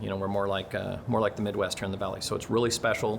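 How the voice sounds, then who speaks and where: Fairly low-pitched male voice. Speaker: race track operator. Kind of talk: video update. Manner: fast.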